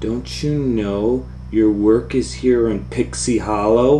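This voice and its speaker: A man puts on a character voice with a fairly low pitch at a fairly slow pace. Clear background noise can be heard. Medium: read story. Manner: authoritative.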